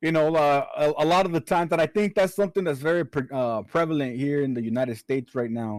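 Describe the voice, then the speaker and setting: A fairly high-pitched man with an American accent at a very fast pace with hardly any pauses, in a dry, close sound with no echo. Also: ordinary pitch variation. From US, Chicano from Spanish-speaking Mexican family. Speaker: podcast host. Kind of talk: casual chat.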